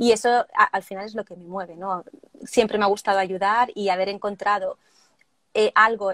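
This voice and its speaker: In a plain, everyday voice, a woman of medium pitch speaks at a moderate pace with fairly even intonation, in a dry, close sound with no echo. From Spain, Barcelona. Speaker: wedding planner and trainer. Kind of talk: casual interview (live stream). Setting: live video stream.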